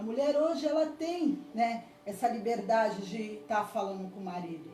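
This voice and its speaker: A woman's fairly high voice at a moderate pace, with very wide pitch swings, big swings in loudness, and noticeable background noise. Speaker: preacher. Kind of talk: sermon. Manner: halting.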